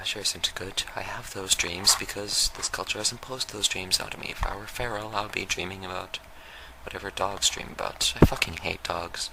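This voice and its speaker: A soft-spoken man with a fairly low pitch and monotone, flat intonation, at a fairly quick pace, amid noticeable background noise. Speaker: YouTube vlogger. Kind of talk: off-the-cuff monologue. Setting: lying on the floor at home. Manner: soft-spoken, very quiet.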